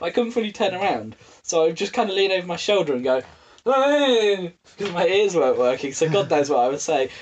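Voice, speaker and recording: A man with an English accent talks at a fairly quick pace. His pitch is high and swings very widely. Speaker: podcast co-host. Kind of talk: casual chat.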